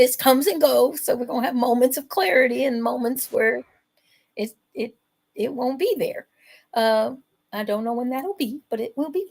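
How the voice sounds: In a put-on character voice that is hoarse and squeaky, the speaker keeps a moderate pace broken by long, frequent pauses. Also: woman, high pitch for a woman.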